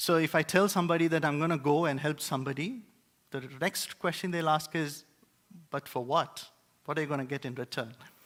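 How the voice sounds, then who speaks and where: With an Indian accent, a man talks at a fairly quick pace, his pitch fairly high with ordinary variation. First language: Indian language. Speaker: preacher. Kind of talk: sermon. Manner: hesitant, many filler words.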